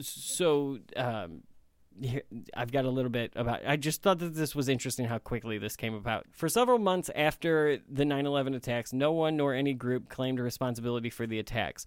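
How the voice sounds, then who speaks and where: In a very clean recording with a silent background, a man with an American accent speaks at a fairly quick pace and medium pitch with ordinary pitch variation, a plain, everyday voice. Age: 30s. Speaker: podcast host. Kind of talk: casual chat.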